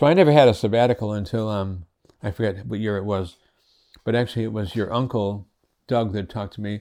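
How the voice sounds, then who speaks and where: In an American accent, a man races along at a very fast pace, his fairly low, dark, mellow voice showing ordinary pitch variation. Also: very clean recording, silent background. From Connecticut, US. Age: 70s. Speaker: retired pastor. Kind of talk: interview. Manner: halting.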